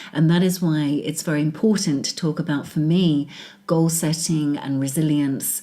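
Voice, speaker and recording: A woman speaks with a British accent at a moderate pace. Her very deep, low pitch carries a dark, mellow tone and fairly even intonation. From England. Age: 40s. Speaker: business executive. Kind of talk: interview.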